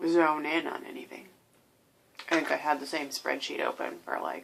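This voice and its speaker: A soft-spoken woman talks at a fairly slow pace. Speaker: video diarist with bipolar disorder. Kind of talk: personal video diary. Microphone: may be too quiet.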